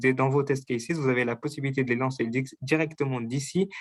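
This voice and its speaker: Fairly quick in pace, a man speaks with a fairly high pitch. His intonation stays fairly even. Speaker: software test automation presenter. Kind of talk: technical webinar demo. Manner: hesitant, many fillers.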